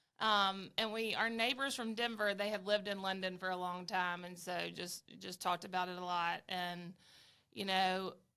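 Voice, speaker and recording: With a strong Southern US accent, a woman speaks at medium pitch and a moderate pace in a bright, sharp tone with fairly even intonation on a very clean recording with a silent background. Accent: thick Southern US. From Alabama, US South. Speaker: travel advisor. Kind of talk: casual interview chat. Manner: hesitant, many fillers.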